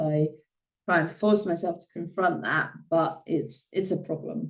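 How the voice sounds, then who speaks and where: A woman speaks at a fairly slow pace with vocal fry and ordinary pitch variation. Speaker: podcast host. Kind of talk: solo podcast monologue. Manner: frequent filler sounds (uh, um).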